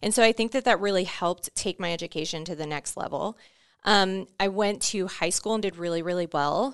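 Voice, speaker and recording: Against a quiet background, someone with an American accent talks at a fairly quick pace with ordinary pitch variation. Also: woman. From Florida, Orlando. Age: 30s. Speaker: podcast guest, veteran and team manager. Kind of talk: interview conversation.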